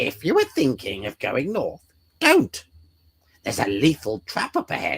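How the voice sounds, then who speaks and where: A put-on character voice moves at a moderate pace. Long, frequent pauses break it up. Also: man. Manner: silly.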